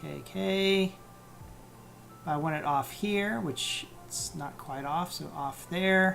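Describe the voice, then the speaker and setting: Mumbling at a very slow pace with long, frequent pauses, the voice comes over music in the background. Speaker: animation tutorial streamer. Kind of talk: live-streamed software tutorial. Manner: mumbling, thinking aloud; halting, many fillers.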